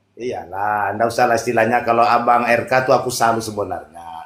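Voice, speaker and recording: A normal speaking voice at a fairly quick pace. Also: man. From Mandar, West Sulawesi, Indonesia. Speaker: caller in online religious debate room. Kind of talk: casual debate chat.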